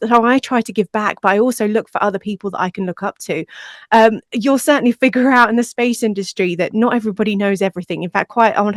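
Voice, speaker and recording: Speaking at a very fast pace with an English accent, a woman has a fairly high pitch and fairly even intonation, with a dry, close sound and no echo. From England. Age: 40s. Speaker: podcast producer. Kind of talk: interview conversation. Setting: podcast.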